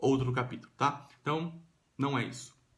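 A man with a medium-pitched, somewhat breathy voice talks at a moderate pace in a room with audible echo. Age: 30s. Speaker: vlogger. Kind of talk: vlog monologue. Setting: at home. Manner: casual with fillers.

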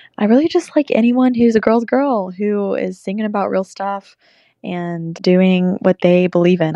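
A woman's dark, mellow tone with ordinary pitch variation, dry and close with no echo, against a quiet background. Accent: Southern US. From US South, Bristol, Tennessee. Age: 20s. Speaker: country singer-songwriter. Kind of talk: recorded answers to interview questions.

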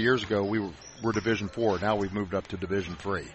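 Noticeable background noise around a man's fairly low-pitched voice. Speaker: high school basketball head coach. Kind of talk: casual pregame interview.

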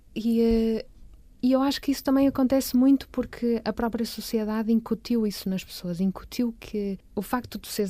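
A woman speaks at a moderate pace with fairly high pitch and fairly even intonation. Her loudness swings widely, and the recording is very clean with a silent background. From Porto, northern Portugal. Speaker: visual artist. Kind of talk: interview. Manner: halting, many repetitions.

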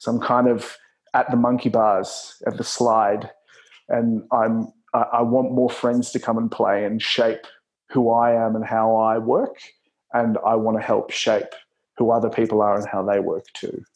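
Here is a man with an Australian accent. He speaks at a fairly slow pace with monotone, flat intonation. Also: medium pitch for a man. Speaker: performer turned workplace consultant. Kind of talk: interview conversation.

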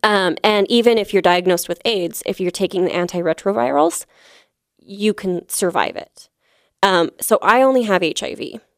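A woman's medium-pitched voice at a moderate pace, dry and close with no echo, on a very clean recording against a silent background. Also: ordinary pitch variation. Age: 30s. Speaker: comedian. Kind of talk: casual chat. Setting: studio. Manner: halting.

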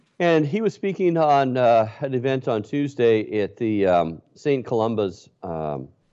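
Fairly slow in pace, a man at a medium pitch makes very wide pitch swings. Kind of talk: interview. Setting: video call.

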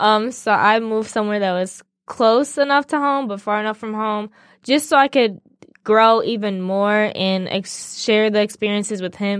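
This is a plain, everyday voice at a moderate pace. Its pitch varies in an ordinary way. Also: woman, fairly high pitch for a woman. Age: 20s. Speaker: college student, host's daughter. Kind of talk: casual interview. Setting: studio.

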